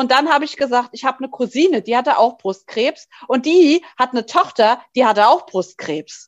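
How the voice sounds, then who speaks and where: A woman with a high pitch speaks with hardly any pauses. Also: lively intonation, moderate pace. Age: 40s. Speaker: breast cancer survivor and patient association board member. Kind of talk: interview testimony.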